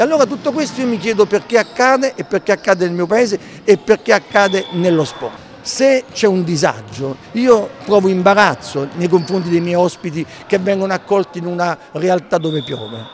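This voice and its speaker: Moderate-paced male speech, dry with no echo, over light background noise. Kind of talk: interview answer. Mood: indignant, critical. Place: hall. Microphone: handheld.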